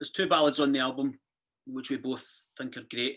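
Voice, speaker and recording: With a Glasgow accent, a woman talks at a fairly quick pace in a very deep, low voice. Her intonation stays monotone and flat. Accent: Scottish (Glasgow). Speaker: country music duo member. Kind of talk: casual chat.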